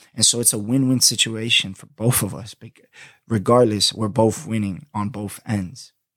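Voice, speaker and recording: Loudness swings widely in this man's speech. He is at medium pitch and a moderate pace. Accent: New York. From Florida, US. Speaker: podcast host. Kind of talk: casual solo podcast monologue. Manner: animated, slangy; laughs often.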